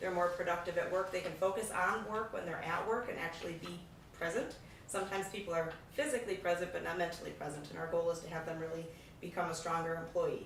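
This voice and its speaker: Against noticeable background noise and audible room echo, a woman talks very fast in a fairly low voice with ordinary pitch variation. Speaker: nonprofit program manager. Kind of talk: presentation. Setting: public meeting.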